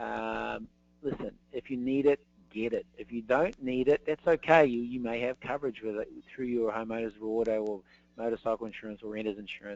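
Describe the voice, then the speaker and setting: Talking at a fairly quick pace, a man with a New Zealand accent keeps a medium pitch and fairly even intonation. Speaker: insurance specialist. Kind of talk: webinar presentation. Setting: online webinar. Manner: halting, many fillers.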